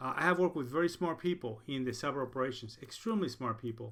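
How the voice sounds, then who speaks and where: With a Spanish accent, a man talks at a very fast pace, his pitch fairly high and his intonation lively. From Puerto Rico. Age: 60s. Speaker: college instructor. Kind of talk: lecture. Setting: recorded video lecture.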